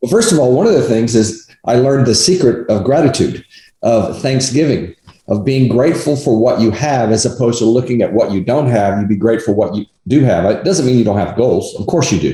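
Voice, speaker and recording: Somewhat breathy and dark, mellow in tone, a man talks at a fairly quick pace with medium pitch and ordinary pitch variation. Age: 60s. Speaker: negotiation coach and appraisal umpire. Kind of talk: interview.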